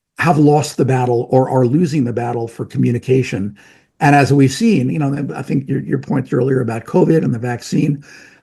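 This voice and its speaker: This man has a medium pitch, an American accent, a dark, mellow tone with vocal fry, ordinary pitch variation, and a moderate pace. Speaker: medical professor and drug-safety researcher. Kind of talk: casual interview.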